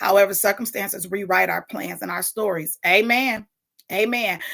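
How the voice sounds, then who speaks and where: A woman's passionate tone with vocal fry and fairly even intonation. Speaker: morning talk show host. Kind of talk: casual livestream talk with affirmations. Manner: loud; passionate, unfiltered.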